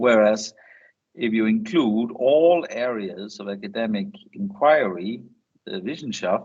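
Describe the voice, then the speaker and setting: A man with a Danish accent and a medium pitch speaks at a fairly slow pace, his pitch swinging very widely. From Denmark. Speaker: academic speaker on science diplomacy. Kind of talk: seminar presentation. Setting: online seminar via video call. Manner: hesitant with frequent fillers.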